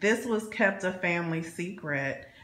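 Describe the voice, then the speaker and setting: A woman talks at a very slow pace. The room has an audible echo and noticeable background noise. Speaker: vlogger, former Jehovah's Witness. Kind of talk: personal vlog monologue. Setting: home alone. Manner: halting, many repeated words.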